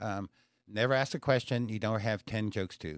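Clean and dry, this recording has a silent background and a close sound with no echo. A man with a normal speaking voice talks at a moderate pace, his pitch fairly low and its variation ordinary. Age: 60s. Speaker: comedian and comedy show producer. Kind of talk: casual chat.

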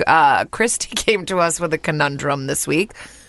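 A woman's voice with noticeable background noise. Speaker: podcast co-host. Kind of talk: casual chat. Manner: animated.

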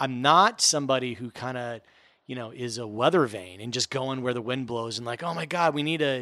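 A man speaks at a fairly quick pace in a medium pitch. He has a normal speaking voice. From US Mid-Atlantic (Washington D.C. area). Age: 40s. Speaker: TV producer and sports science presenter. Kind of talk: casual interview. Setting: in person.

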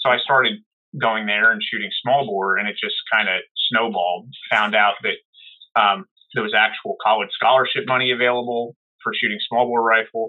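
In an American accent, a man with a plain, everyday voice talks at a moderate pace, medium pitch and fairly even intonation. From US Northeast, New Jersey. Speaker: holster maker and competitive shooter. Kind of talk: casual interview.

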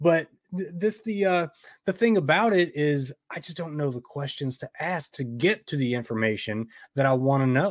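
In a plain, everyday voice, a man with a fairly high pitch speaks at a moderate pace with lively intonation on a very clean recording with a silent background. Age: 40s. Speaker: horror podcast host. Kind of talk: casual interview chat.

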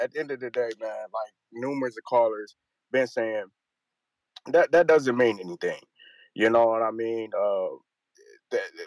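The speech moves at a moderate pace in a dry, close sound with no echo. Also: man. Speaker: caller. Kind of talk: casual chat.

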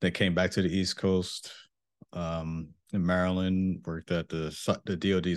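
A monotone, flat delivery with a New York accent at a moderate pace, against a quiet background. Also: man. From Mount Vernon, New York. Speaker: cybersecurity engineer, Air Force veteran. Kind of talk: interview.

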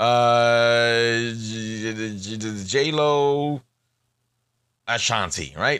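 A man's lively intonation comes through on a very clean recording with a silent background. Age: 40s. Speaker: podcast host. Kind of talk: casual monologue. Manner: mumbling; animated.

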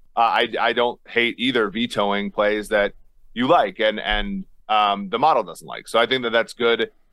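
A man talks with ordinary pitch variation, keeping a moderate speed. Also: medium pitch for a man. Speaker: sports betting analyst. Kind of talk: casual chat. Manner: halting, many fillers.

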